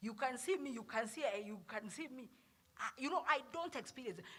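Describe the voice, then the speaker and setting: Here a woman speaks with a high pitch and lively intonation. Her pace is fairly quick. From Uganda. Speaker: pastor and herbal health speaker. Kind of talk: health talk to church group. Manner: halting.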